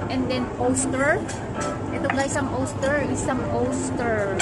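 A woman talks at a very slow pace with music in the background. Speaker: vlogger. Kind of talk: casual vlog chat. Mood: cheerful. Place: cafe. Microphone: phone near.

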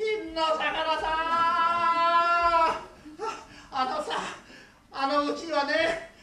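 A man does a cartoonish character voice at an extremely high pitch and a very slow pace, with a slight echo. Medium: puppet.

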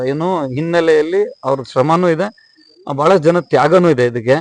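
This man has a high-pitched voice with ordinary pitch variation. The sound is dry and close, with no echo. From Bangalore, India (born in Hubli). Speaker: businessman. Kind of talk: interview.

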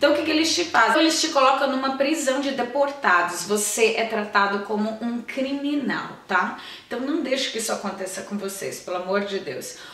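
At a moderate pace and with hardly any pauses, a woman with a high voice speaks with lively intonation amid audible room echo. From Brazil. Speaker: YouTuber. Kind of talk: vlog tutorial. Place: home room.

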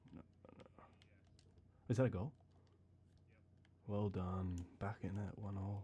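This man is soft-spoken and somewhat breathy, with a fairly low pitch and fairly even intonation. He talks at a very slow pace, with long, frequent pauses. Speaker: gamer. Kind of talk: ASMR gaming let's play chatter. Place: home room.

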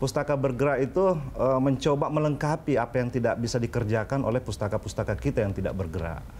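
A man talks at a very fast pace with lively intonation over light background noise. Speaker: literacy activist and essayist; talk show guest. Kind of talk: TV talk show interview. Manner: halting, frequent fillers. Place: studio. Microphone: lapel.

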